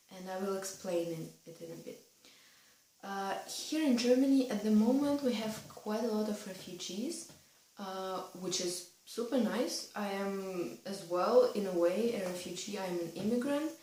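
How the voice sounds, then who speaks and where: A woman's medium-pitched voice at a moderate pace, with lively intonation and big swings in loudness, amid audible room echo and noticeable background noise. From Russia. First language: Russian. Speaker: vlogger. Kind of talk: casual vlog advice talk.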